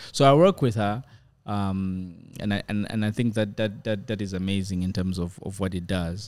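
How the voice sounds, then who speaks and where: On a very clean recording with a silent background, a man with a South African accent talks at a moderate pace, his pitch fairly low and his intonation fairly even. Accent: picking up a South African. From Zambia. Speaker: filmmaker and director. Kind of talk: casual interview.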